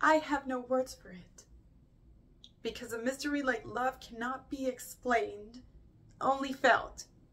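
Fairly even intonation carries this voice along at a fairly slow pace. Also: woman, high pitch for a woman. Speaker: actor performing a monologue. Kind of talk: dramatic monologue. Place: home room.

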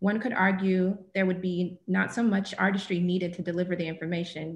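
The speaker talks at a fairly quick pace in a somewhat breathy voice. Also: woman. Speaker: event moderator. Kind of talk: formal introduction and Q&A moderation. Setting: video call. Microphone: webcam.

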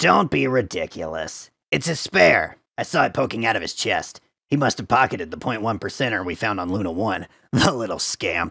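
Put-on character voice from a man, medium pitch, moderate pace. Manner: sarcastic, manic.

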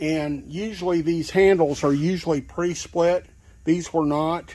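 A man's fairly high, slightly mellow voice at a fairly slow pace with fairly even intonation

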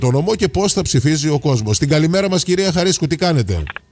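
A man with a fairly high pitch, a somewhat breathy quality and lively intonation. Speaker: radio host. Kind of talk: radio interview.

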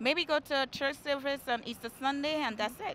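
With ordinary pitch variation, a woman talks at a fairly quick pace in a high voice. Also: fairly bright tone.

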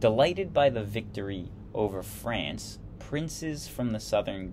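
There is light noise in the background. Over it, a man talks. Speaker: history video host. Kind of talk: lecture. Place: home room. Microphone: webcam.

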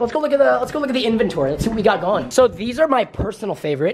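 With faint background noise behind him, a man speaks with lively intonation.

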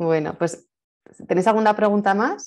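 A woman's dark, mellow tone with fairly even intonation against a quiet background. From Spain. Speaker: event host. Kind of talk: casual interview. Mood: warm, smiling. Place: home room. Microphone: earbuds.

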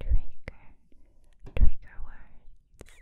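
A woman whispers in a soft-spoken, breathy voice at a very slow pace. The sound is dry, with no echo. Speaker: ASMR creator. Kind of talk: casual ASMR intro chat, soft whispery. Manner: soft breathy ASMR whisper, close-mic. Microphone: studio mic.

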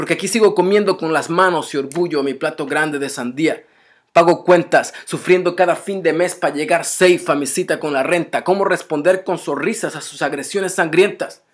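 At a moderate pace, a man speaks in an angry, intense tone over a quiet background. His pitch is high, with ordinary variation. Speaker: spoken word poet. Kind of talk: spoken word poem, defiant political protest verse. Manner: intense, rhythmic, forceful; angry, accusatory, urgent. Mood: angry, defiant. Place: home room. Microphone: webcam.

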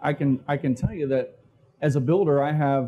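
Intonation stays fairly even as a man speaks at a moderate pace. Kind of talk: conference talk. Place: hall. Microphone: lapel.

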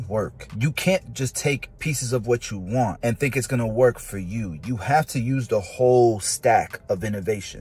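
A man speaks at a moderate pace with hardly any pauses, a somewhat breathy voice and ordinary pitch variation, in a dry sound with no echo. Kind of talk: casual vlog chat. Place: car. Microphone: earbuds.

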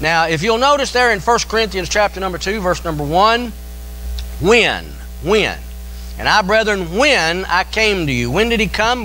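A man speaks at a moderate pace in a Tennessee accent. Light background noise can be heard. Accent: Southern US (Tennessee). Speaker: pastor. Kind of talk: sermon. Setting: church. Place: church. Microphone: podium.

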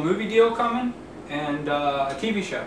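Audible room echo hangs around this recording, with light background noise underneath. A man speaks in a high pitch. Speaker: actor in a comedy skit. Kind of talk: acted one-sided phone call. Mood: ends angry after hang-up. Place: kitchen. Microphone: camera far.

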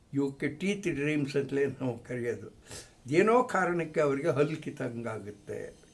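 A man with a fairly high pitch talks with lively intonation, and room echo can be heard. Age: old. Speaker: retired psychology professor. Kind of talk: informal lecture. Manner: halting.

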